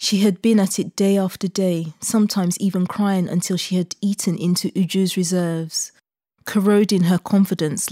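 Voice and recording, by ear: Read aloud in a natural voice with fairly even intonation over a quiet background.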